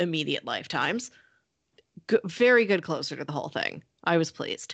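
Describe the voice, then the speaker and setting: A woman's plain, everyday voice, medium in pitch, with lively intonation, a fairly quick pace and a quiet background. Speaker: podcast co-host. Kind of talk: casual chat.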